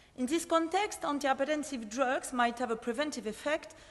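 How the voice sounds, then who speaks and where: A woman with a French accent speaks in a high pitch at a moderate pace, with ordinary pitch variation. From France. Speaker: pharmacist and PhD researcher. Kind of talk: conference presentation. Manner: hesitant, many fillers.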